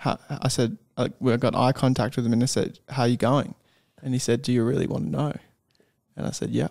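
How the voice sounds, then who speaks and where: Against a quiet background, a man talks at a fairly quick pace with vocal fry. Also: ordinary pitch variation. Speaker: podcast co-host. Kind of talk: casual conversation. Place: studio. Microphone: studio mic.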